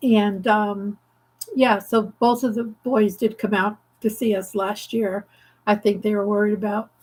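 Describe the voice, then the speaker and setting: In a very clean recording with a silent background, a woman speaks at medium pitch and a moderate pace, somewhat breathy, in a monotone, flat intonation. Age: 70s. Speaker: craft channel host. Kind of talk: casual chat. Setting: livestream from home craft studio. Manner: halting, many fillers.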